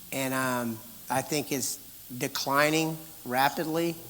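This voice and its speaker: A man is speaking. His pitch is medium. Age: 60s. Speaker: pastor. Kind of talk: conference talk, Q&A answer. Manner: animated.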